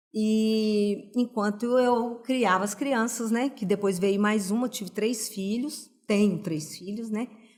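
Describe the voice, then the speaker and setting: Speaking at a very slow pace, this woman has a fairly high pitch. Her intonation stays fairly even. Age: 60s. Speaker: pedagogue and cognitive stimulation practitioner. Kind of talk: podcast interview.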